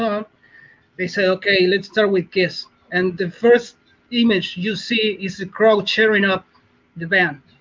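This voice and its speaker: A man with a Spanish accent talks at a fairly slow pace in a high pitch. His intonation is monotone and flat. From Argentina. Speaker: caller. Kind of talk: casual chat.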